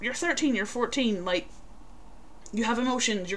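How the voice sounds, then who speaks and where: In a Northern Irish accent, a woman speaks at a moderate pace. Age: 20s. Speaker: podcast co-host. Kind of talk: casual chat.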